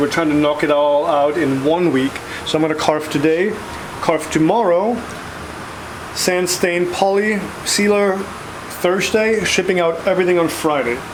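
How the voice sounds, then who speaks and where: High-pitched and at a moderate pace, a man speaks with ordinary pitch variation against noticeable background noise. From Bavaria, Germany. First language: German. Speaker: woodworker, sign maker. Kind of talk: casual vlog talk to camera.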